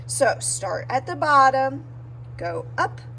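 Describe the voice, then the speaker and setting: A woman is speaking. Audible echo fills the room around her. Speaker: art teacher. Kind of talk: tutorial.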